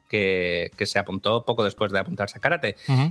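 A man talks in a bright, sharp tone. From Málaga, Spain. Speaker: film collaborator. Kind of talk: casual chat.

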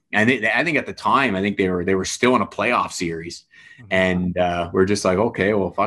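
Here a man speaks in a fairly low pitch with a slight Canadian accent. The recording is very clean, with a silent background. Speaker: hockey coach and former player. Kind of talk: casual podcast interview. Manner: soft-spoken off the ice, fired up behind the bench.

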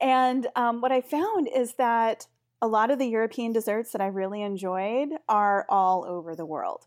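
In a very clean recording with a silent background, a woman with an American accent talks at a moderate pace, her fairly high voice showing lively intonation. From US Pacific Northwest. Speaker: dessert blogger, international educator. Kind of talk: interview.

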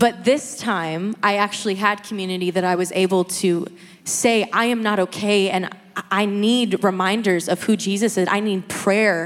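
A woman speaks at a moderate speed in a normal speaking voice. Her medium pitch stays fairly even in intonation. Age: 20s. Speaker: church member sharing testimony. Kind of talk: testimony.

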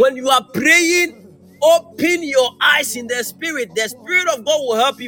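Over noticeable background noise, a man speaks in a raised, projected voice. His pace is fairly slow, and his pitch varies in an ordinary way. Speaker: preacher. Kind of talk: sermon. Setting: church with a live congregation. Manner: animated, fervent, exhorting the congregation.

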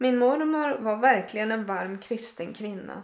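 Very slow speech carries ordinary pitch variation. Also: woman. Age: 60s. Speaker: podcaster sharing personal faith testimony. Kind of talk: testimony.

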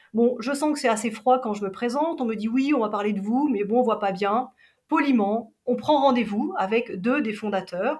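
Her pitch is high and her intonation lively. The woman talks at a moderate speed. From Switzerland, Geneva. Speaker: travel agency operations director. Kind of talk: interview.

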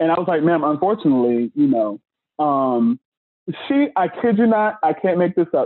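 This man's high-pitched voice moves through very wide pitch swings. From Chicago, South Side. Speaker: former retail worker. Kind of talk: casual chat. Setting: video call.

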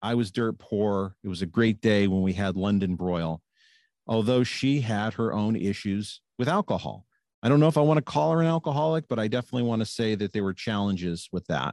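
The sound is dry and close with no echo, over a quiet background. A man with a fairly low pitch talks at a fairly quick pace. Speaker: recovering alcoholic sharing story. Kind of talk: personal testimony. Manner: smooth delivery.

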